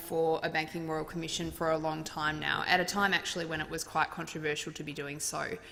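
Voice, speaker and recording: With noticeable background noise behind her, a woman talks at a fairly quick pace in a fairly low pitch. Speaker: member of parliament. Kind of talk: parliamentary adjournment speech. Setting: parliament chamber.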